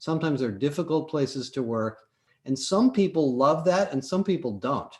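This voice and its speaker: This is an ordinary speaking voice with lively intonation. It moves at a fairly quick pace against a quiet background. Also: man. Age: 60s. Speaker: business owner. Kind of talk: live show discussion. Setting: live stream.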